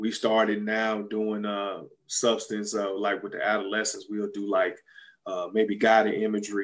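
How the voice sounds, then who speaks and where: With a Southern US accent, a man speaks at a fairly slow pace and a fairly low pitch. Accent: southern drawl. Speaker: retired basketball player and entrepreneur. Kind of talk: interview. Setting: video call. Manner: halting, many fillers.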